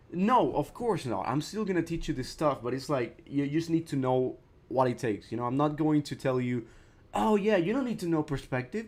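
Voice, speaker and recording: A man with a non-native accent, fairly high pitch and very wide pitch swings, at a fairly quick pace. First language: not English. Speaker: art teacher streaming. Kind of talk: live stream tutorial. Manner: casual, halting with repetitions.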